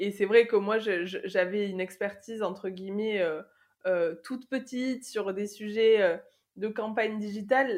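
Against a quiet background, a woman speaks at a very slow pace. Her fairly high voice keeps fairly even intonation. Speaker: corporate chief of staff. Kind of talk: interview. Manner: halting, many repetitions and fillers.

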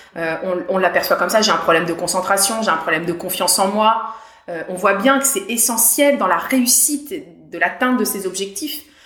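A woman speaks at a moderate pace with lively intonation, with noticeable background noise and audible room echo. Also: medium pitch for a woman. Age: 40s. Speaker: mental coach for athletes. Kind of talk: interview. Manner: hesitant, frequent fillers and repetitions.

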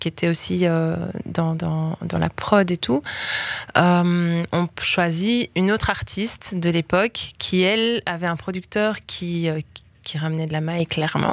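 Very slowly and with fairly even intonation, a woman speaks in a fairly low voice, in a dry, close sound with no echo. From Belgium, Liège. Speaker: singer. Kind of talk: interview.

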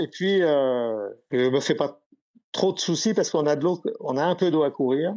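Fairly high male voice with ordinary pitch variation against a quiet background. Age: 70s. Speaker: retired yachtsman. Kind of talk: storytelling interview. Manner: halting.

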